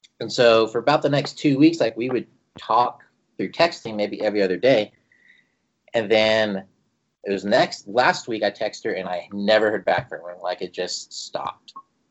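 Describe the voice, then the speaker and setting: With an ordinary speaking voice at medium pitch, a man talks at a moderate pace. His intonation is lively. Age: 30s. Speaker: podcast guest. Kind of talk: casual chat.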